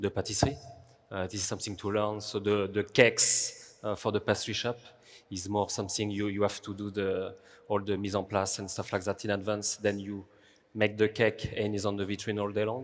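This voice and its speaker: Against a very clean recording with a silent background, a man with a French accent speaks at a fairly quick pace. His pitch is fairly low and his intonation monotone and flat. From France. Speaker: pastry chef. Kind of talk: panel discussion.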